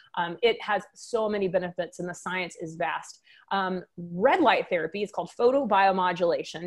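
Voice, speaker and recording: A woman's medium-pitched voice with a slight Texan accent, moderate pace and ordinary pitch variation. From Texas, Waco. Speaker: wellness business owner, former physician. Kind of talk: podcast interview.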